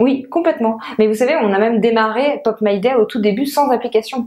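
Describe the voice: A woman's fairly high voice, slightly mellow in tone, with ordinary pitch variation and a fairly quick pace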